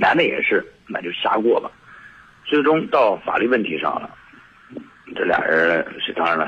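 A man is speaking. His pace is moderate. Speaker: caller. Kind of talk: phone call-in. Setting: phone call. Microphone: voice drifting, not facing the phone.

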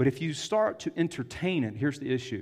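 A man speaks in a fairly high pitch with a Southern US accent against a quiet background. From US South. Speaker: pastor. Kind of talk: sermon.

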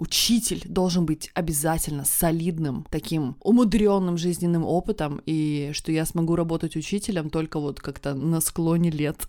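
On a very clean recording with a silent background, a woman with a dark, mellow tone and fairly low pitch speaks at a moderate pace with ordinary pitch variation and hardly any pauses. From post-Soviet Russia. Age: 30s. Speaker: podcast co-host, stylist. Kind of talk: casual chat.

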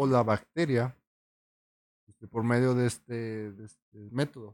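In a Mexican accent, a man speaks at a very slow pace. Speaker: podcast co-host. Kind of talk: casual chat.

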